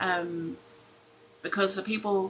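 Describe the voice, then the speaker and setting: Music plays in the background as a woman speaks with a New Zealand accent. Her medium pitch keeps a fairly even intonation at a fairly slow pace. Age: 40s. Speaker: tarot reader. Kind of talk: live stream chat. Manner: halting.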